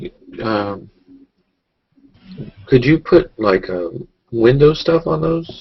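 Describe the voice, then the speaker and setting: Speaking at a very slow pace, a man's voice is somewhat breathy and makes very wide pitch swings. He leaves long, frequent pauses. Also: medium pitch for a man. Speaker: amateur painter. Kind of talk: casual chat. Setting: video call. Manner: stuttering.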